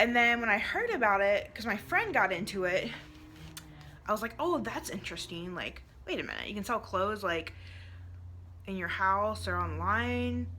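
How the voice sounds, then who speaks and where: With music in the background, a woman talks with long, frequent pauses. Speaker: direct sales consultant and vlogger. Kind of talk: vlog monologue. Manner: fast; casual, filler-heavy.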